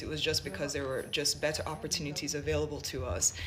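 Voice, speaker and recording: A woman talks at a very fast pace with an American accent. Noticeable background noise and audible room echo come through. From Jamaica, then US from age seven. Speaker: vlogger. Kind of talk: personal testimony.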